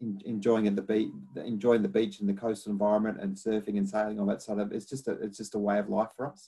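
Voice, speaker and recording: A very fast man with a fairly low pitch, a dark, mellow tone and flat, monotone intonation. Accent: strong Australian. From Australia. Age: 50s. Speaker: academic researcher on climate adaptation. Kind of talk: lecture. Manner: halting, many repetitions and fillers.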